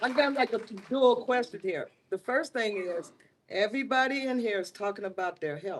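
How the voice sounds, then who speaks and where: A woman uses a normal speaking voice, moving at a moderate pace with lively intonation and a fairly high pitch. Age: 60s. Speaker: town hall attendee. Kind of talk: public meeting question.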